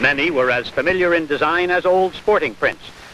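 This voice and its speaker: Noticeable background noise sits behind the speaker. A man with a high voice talks at a fairly quick pace with ordinary pitch variation. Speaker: news reporter / sports commentator. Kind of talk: vintage broadcast news report narration.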